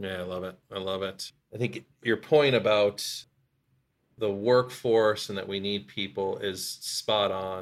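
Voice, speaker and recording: Here is a man with an ordinary speaking voice, fairly low in pitch and fairly even in intonation, going at a fairly slow pace. The recording is very clean, with a silent background. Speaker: podcast host. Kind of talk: casual conversation.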